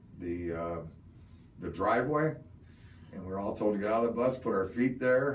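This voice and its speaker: With audible room echo, a man of medium pitch speaks at a moderate pace with lively intonation and long, frequent pauses. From Ohio, US Midwest. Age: 60s. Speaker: Vietnam war veteran. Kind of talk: oral history interview. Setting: interview in Parma, Ohio.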